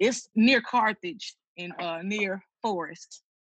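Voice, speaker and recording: A woman with a Mississippi accent speaks very slowly, her tone bright and sharp and her intonation lively. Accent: Mississippi Southern US. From Mississippi, Tuscola. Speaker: church music director. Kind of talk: casual chat. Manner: halting.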